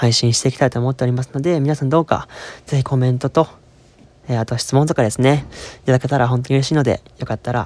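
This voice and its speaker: A man at a very fast pace, fairly even intonation, dry, close sound with no echo. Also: medium pitch for a man. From Osaka, Kansai. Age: 20s. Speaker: podcast host, university student. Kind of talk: casual solo monologue. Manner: halting, many fillers.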